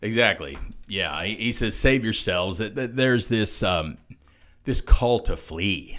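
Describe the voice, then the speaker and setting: Vocal fry, lively intonation and a fairly slow pace. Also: man, medium pitch for a man. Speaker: podcast co-host, former pastor. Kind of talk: discussion of theology, conversational teaching.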